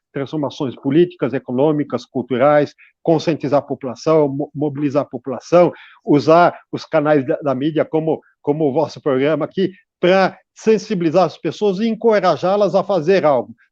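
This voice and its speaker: A man's fairly high voice with ordinary pitch variation, at a moderate pace over a quiet background. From Brazil, São Paulo city. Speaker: environmental researcher. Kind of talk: radio interview. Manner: halting, many fillers and repetitions.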